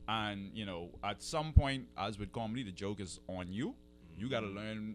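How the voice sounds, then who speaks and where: Lively intonation over music in the background. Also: man. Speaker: improv comedian. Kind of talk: radio interview answer.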